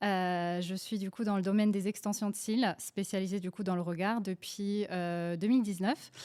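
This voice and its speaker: On a very clean recording with a silent background, a woman with a dark, mellow tone and a medium pitch talks at a moderate pace with fairly even intonation and hardly any pauses. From Poland, moved to France at 11. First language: Polish (speaking French). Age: 20s. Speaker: beauty entrepreneur. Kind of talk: podcast interview. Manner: hesitant, many fillers.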